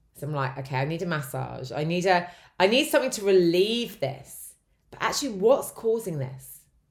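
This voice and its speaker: On a very clean recording with a silent background, a woman speaks at a moderate pace in a medium pitch, with vocal fry and very wide pitch swings. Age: 40s. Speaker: life coach and podcast host. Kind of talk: solo podcast monologue on self-help. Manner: conversational.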